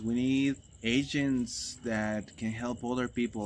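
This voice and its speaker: With fairly even intonation, a man speaks at a medium pitch in a non-native accent. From Mexico, Guanajuato. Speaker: retreat facilitator. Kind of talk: casual promotional chat. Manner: halting.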